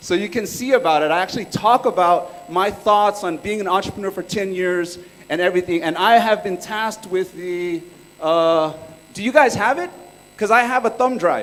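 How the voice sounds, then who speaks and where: Over noticeable background noise, a man with a Californian accent talks at a high pitch and moderate pace with ordinary pitch variation. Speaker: entrepreneur and workshop speaker. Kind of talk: conference talk. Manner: casual, joking.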